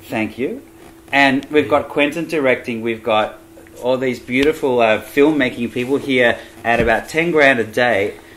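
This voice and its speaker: There is noticeable background noise as a man talks at a moderate pace. He has an Australian accent and ordinary pitch variation. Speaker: jazz pianist. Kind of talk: casual vlog talk to camera.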